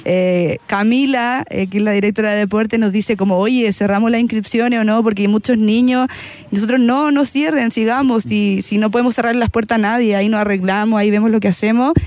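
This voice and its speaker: With noticeable background noise behind her, a woman talks at a fairly quick pace and fairly high pitch, hardly pausing, her intonation fairly even and her loudness very even. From Chile, La Pintana. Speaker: volleyball player. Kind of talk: casual interview. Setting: live broadcast from stadium.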